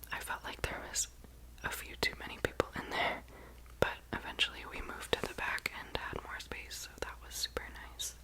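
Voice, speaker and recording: A relaxed, whispering woman with an American accent at a moderate pace, her loudness swinging widely, over noticeable background noise. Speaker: ASMR content creator. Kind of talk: whispered travel vlog voiceover. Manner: whispered, relaxed, friendly.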